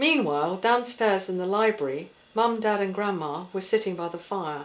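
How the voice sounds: A woman's fairly low voice at a moderate pace, with ordinary pitch variation and audible room echo.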